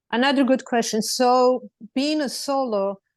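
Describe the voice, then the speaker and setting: A woman speaks at a fairly slow pace with a Serbian accent. The background is quiet. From Serbia, Belgrade. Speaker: lawyer. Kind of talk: panel discussion.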